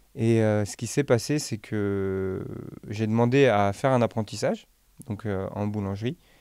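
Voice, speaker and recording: Dark, mellow male tones, captured in a very clean recording against a silent background. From France, Nantes (Dervallière neighbourhood). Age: 20s. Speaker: pastry chef and bakery owner. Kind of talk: podcast interview. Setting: studio. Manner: hesitant, many fillers.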